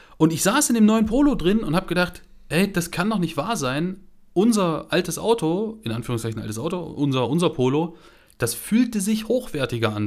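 His pitch is high, and this man's voice moves in very wide pitch swings. The pace is moderate. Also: very clean recording, silent background. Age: 30s. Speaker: car podcast co-host. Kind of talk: casual chat.

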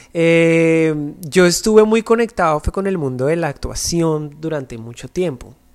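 A man with an ordinary speaking voice talks at a fairly slow pace with hardly any pauses, in a fairly high pitch with ordinary pitch variation. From Colombia, Bogotá. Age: 30s. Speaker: dancer and dance agency owner. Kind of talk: interview.

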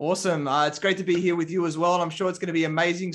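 A high-pitched man with an Australian accent at a very fast pace. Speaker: podcast host and business coach. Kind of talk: interview.

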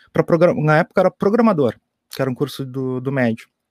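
A man's fairly high-pitched voice at a very fast pace, in a very clean recording with a silent background. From Pelotas, southern Brazil. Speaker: IT university staff / developer. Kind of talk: casual chat. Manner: halting.

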